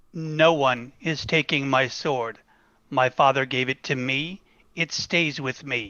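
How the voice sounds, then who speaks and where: The speaker puts on a character voice pitched low to middle. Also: fairly slow pace. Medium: role play.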